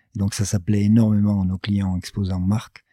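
This man's voice has a dark, mellow tone. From southwest France (Gers). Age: 50s. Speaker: business founder. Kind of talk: interview. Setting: his office. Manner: halting, many fillers.

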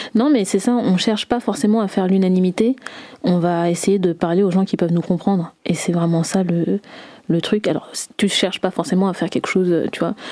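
At a fairly quick pace, a woman speaks in a dark, mellow tone, her medium pitch showing ordinary variation. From France. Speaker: singer. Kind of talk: interview. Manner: hesitant, many fillers.

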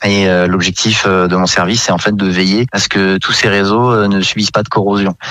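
Over noticeable background noise, a man with a fairly low pitch speaks at a moderate pace in a flat monotone, with very even loudness and hardly any pauses. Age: 20s. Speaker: gas technician apprentice. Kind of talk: radio interview.

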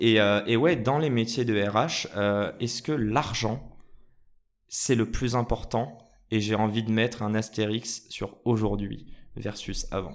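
In a very clean recording with a silent background, a man speaks very slowly at a medium pitch. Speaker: podcast host. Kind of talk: casual interview. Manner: animated.

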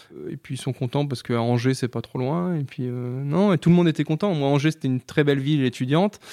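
At a very fast pace with hardly any pauses, a man speaks with ordinary pitch variation in a very clean recording with a silent background. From Vendée, western France (Les Sables-d'Olonne). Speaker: chartered accountant, firm owner. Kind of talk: casual interview. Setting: in person. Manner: hesitant, many fillers and repetitions.

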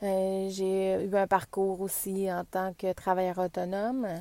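A woman with a Quebec accent, medium pitch and a dark, mellow tone, at a very slow pace. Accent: Québécois French. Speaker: wellness podcaster, former medical technologist. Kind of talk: casual podcast introduction monologue. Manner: hesitant, many fillers and repetitions.

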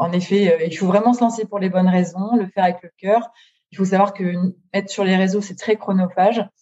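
A woman speaks at a fairly quick clip in a somewhat breathy voice with monotone, flat intonation. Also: medium pitch for a woman. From northern France (Nord-Pas-de-Calais). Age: 30s. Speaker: book influencer. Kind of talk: interview. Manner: hesitant, many fillers.

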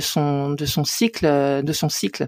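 A woman's voice comes through dry and close with no echo on a very clean recording with a silent background. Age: 50s. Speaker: coach and therapist. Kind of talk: interview conversation.

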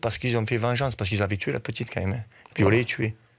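This man's medium-pitched voice is somewhat breathy and shows ordinary pitch variation. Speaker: football coach. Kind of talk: radio interview.

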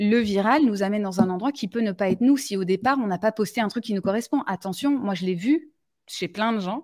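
At a fairly quick pace, a woman speaks with medium pitch and ordinary pitch variation in a very clean recording with a silent background. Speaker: live stream host. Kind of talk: live stream conversation. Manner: direct.

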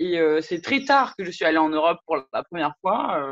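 Her intonation is lively and her pitch fairly low for a woman. The sound is dry and close, with no echo. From French Polynesia. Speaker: interviewee, law graduate. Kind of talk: interview testimony. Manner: hesitant, many fillers.

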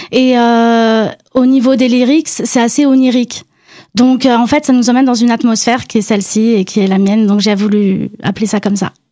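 Dark and mellow in tone, the voice moves at a moderate pace with fairly even intonation and very even loudness. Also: woman, fairly high pitch for a woman. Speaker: emerging singer guest. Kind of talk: radio interview.

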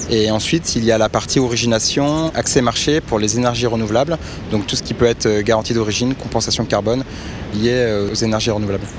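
Against noticeable background noise, a man talks at a fairly quick pace in a medium pitch with fairly even intonation. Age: 40s. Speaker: startup co-founder and CEO in energy brokerage. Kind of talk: interview. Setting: outdoors by a river.

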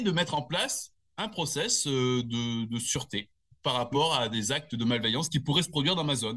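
Lively intonation runs through speech with a bright, sharp tone. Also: man. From southern France, Nice area. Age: 50s. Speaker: security company manager. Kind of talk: interview. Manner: hesitant, many fillers and repetitions.

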